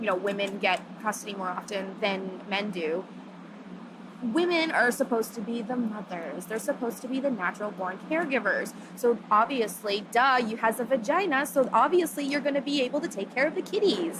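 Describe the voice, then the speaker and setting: A woman at a fairly quick pace and fairly high pitch, animated in tone, with lively intonation over noticeable background noise. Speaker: feminist activist. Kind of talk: interview. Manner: loud.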